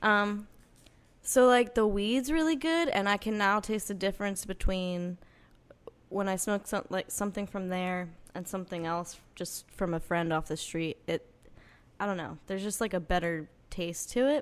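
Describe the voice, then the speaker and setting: This is an ordinary speaking voice with an American accent. The intonation is lively and the pace moderate. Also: woman, medium pitch for a woman. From northern New Jersey. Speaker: singer-songwriter. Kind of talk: casual chat.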